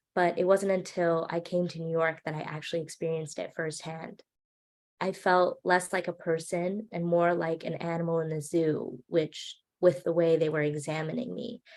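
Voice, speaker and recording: The speaker has a Hawaiian accent and a moderate pace. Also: woman, fairly low pitch for a woman, fairly even intonation. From Hawaii, Maui. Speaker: student filmmaker speaker. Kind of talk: presentation talk.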